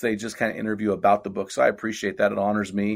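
This very clean recording has a silent background. A man talks very fast with an American accent. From California central coast. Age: 50s. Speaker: men's ministry leader and author. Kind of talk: casual interview.

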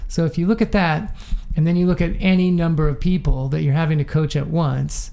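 Noticeable background noise sits behind a man talking at a very fast pace with an American accent. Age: 60s. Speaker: running coach. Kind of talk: interview.

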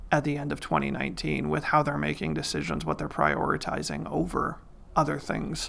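A man with a Midwestern American accent talks at a fairly quick pace. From Iowa, US Midwest. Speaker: financial planner and mayor. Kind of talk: interview.

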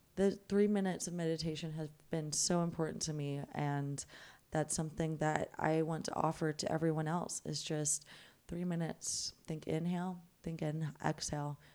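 On a very clean recording with a silent background, a woman speaks in a very deep, low, dark and mellow voice with monotone, flat intonation. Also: moderate pace. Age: 20s. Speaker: yoga teacher and life coach. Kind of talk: casual chat.

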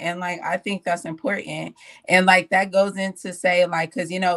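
Using a normal speaking voice, a woman with fairly low pitch talks at a moderate pace in a dry, close sound with no echo and a quiet background. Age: 20s. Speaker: podcast panelist. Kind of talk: casual chat.

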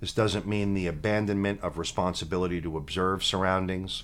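A man with a very deep, low pitch on a very clean recording against a silent background. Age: 50s. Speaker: podcast co-host and teacher. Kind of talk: casual chat; reading aloud.

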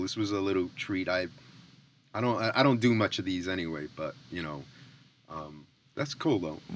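The man's tone is bright and sharp. His pitch swings very widely. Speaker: mix engineer. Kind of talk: casual chat. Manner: rambling, halting.

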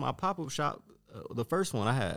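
A man talks at a moderate pace. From Detroit. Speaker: clothing designer and denim collector. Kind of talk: casual chat.

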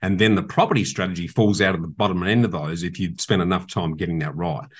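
A man with an Australian accent at a fairly quick pace, against a quiet background. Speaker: property investment expert and podcast host. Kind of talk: casual interview. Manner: passionate.

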